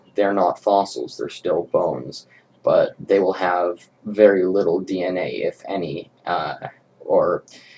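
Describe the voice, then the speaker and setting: Rumbling male voice at a fairly slow pace. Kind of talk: commentary response video. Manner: quiet, subdued.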